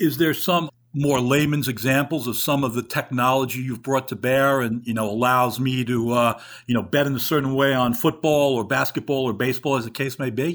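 A man with a New York accent, medium pitch and fairly even intonation at a fairly quick pace, on a very clean recording with a silent background. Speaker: podcast host and reporter. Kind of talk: interview, host questions.

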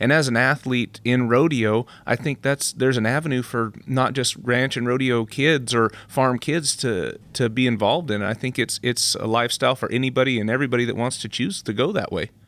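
Hardly pausing, a man with an unremarkable speaking voice talks at a fairly quick pace, with a medium pitch and fairly even intonation. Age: 30s. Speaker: professional rodeo athlete. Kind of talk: interview.

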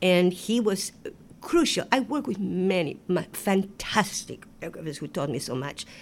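With an Argentine accent, a woman talks at a moderate pace, her medium pitch moving in very wide swings. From Argentina, Buenos Aires. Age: 70s. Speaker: Broadway choreographer and director. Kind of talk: interview. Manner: animated.

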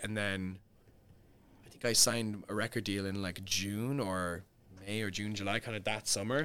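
A man with a Cork accent, a fairly low pitch and a bright, sharp tone at a moderate pace, on a very clean recording with a silent background. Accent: Cork Irish. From Ireland, Cork. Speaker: singer-songwriter. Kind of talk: casual interview.

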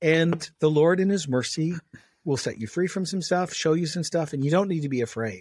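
A man talks at a fairly quick pace with a fairly high pitch and ordinary pitch variation, on a very clean recording with a silent background. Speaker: pastor. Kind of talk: interview. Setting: studio. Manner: forceful.

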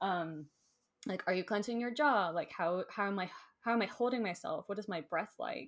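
In an American accent, a woman speaks at a moderate pace with a medium pitch, lively intonation and a plain, everyday voice. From Florida. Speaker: Enneagram teacher. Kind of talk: casual interview. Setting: video call.

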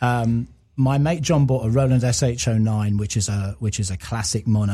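The recording is very clean with a silent background, as a man talks at a moderate pace with a fairly low pitch and ordinary pitch variation. His tone is dark and mellow and somewhat breathy. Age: 50s. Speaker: music producer and former radio presenter. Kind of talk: casual chat.

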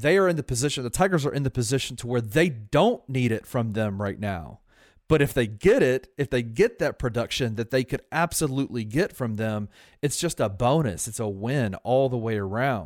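A man's normal speaking voice at a medium pitch and moderate pace, with lively intonation, dry, close sound with no echo, and a very clean recording with a silent background. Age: 40s. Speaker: sports podcast co-host. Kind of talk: casual sports chat.

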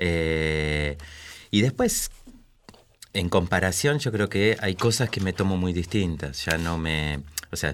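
A man speaks at a very slow pace with long, frequent pauses and ordinary pitch variation. His very deep, low voice comes through on a very clean recording with a silent background. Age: 40s. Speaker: father. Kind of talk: panel discussion.

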